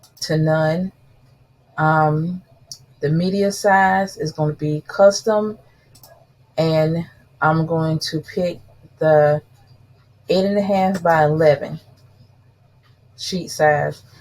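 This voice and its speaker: Speaking very slowly with long, frequent pauses, a woman with a fairly low, somewhat breathy voice and a South Carolina accent keeps her intonation fairly even. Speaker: crafting YouTuber. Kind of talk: tutorial. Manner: casual, chatty.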